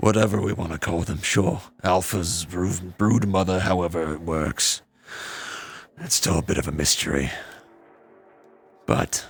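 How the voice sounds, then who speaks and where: Music plays in the background as a man puts on a raspy character voice with a very deep, low pitch. He keeps a moderate pace, leaving long, frequent pauses. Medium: actual play. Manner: measured, calm, steady.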